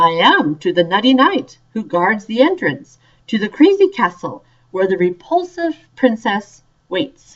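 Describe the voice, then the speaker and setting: A woman uses a put-on character voice with a fairly high pitch. She swings her pitch very widely at a moderate pace. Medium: read story. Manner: drowsy, sing-song.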